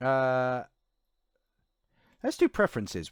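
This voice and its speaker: A man at medium pitch and moderate pace, dry and close with no echo, on a very clean recording with a silent background. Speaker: professional voice artist, let's play gamer. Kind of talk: casual let's play commentary talking to camera. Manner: chatty, casual, friendly.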